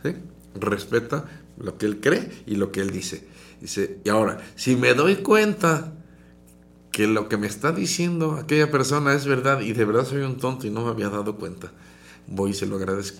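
A man's intonation is lively as he talks at a moderate speed. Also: medium pitch for a man. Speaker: radio host and psychologist. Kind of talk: radio talk show. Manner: modulated, calmer than before.

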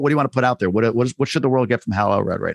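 The recording is very clean with a silent background and a dry, close sound with no echo. A man speaks at a medium pitch. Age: 40s. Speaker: podcast host. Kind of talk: podcast interview.

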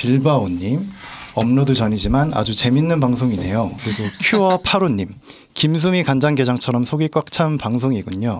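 Delivered at a moderate pace with very even loudness and lively intonation, this is a normal speaking voice. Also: man, medium pitch for a man. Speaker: podcast guest. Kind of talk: casual chat.

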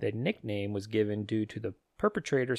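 In a very clean recording with a silent background and a dry, close sound without echo, a man uses a normal speaking voice at a medium pitch, with ordinary pitch variation and a moderate pace. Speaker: podcast host. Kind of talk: casual chat. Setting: home recording setup with two mics. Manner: casual, profane.

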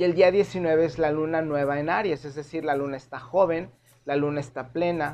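In a plain, everyday voice, a man with fairly high pitch speaks at a moderate pace with fairly even intonation. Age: 40s. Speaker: tarot reader and astrologer podcast host. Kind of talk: solo podcast monologue.

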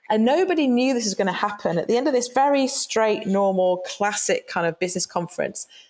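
With hardly any pauses, a woman with a British accent speaks in a fairly high voice, her intonation lively and her loudness very even. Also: fairly quick pace. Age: 50s. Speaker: employee engagement consultant. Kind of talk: interview.

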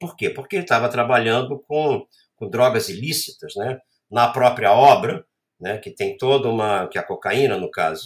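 This man's intonation is lively and somewhat breathy, at a medium pitch. He keeps a moderate pace, with big swings in loudness. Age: 60s. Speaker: photographer and art professor. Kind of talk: interview storytelling.

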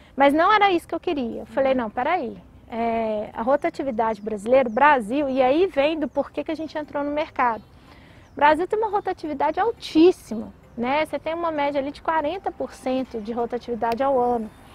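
In a dry, close recording with no echo, a woman with a high pitch talks at a moderate pace, her intonation lively and her loudness swinging widely. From Brazil, Minas Gerais (Belo Horizonte). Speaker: tech company CEO. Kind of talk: interview. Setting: outdoors by a lake. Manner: energetic.

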